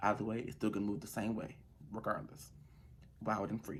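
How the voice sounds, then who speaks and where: A quiet man with a calm tone. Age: young. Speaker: vlogger. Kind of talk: casual monologue vlog. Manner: quiet, calm.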